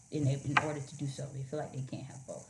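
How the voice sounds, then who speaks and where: A woman with an American accent speaks in an animated tone at a fairly quick pace. Her voice is somewhat breathy, with audible room echo. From Miami, Florida. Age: 30s. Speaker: Coast Guard officer. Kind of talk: casual interview.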